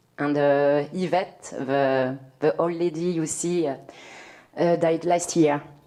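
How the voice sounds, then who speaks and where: Amid noticeable background noise, a woman with a French accent speaks very slowly in a monotone, flat intonation at a very deep, low pitch. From France. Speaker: community arts worker. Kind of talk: panel discussion. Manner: halting, many fillers.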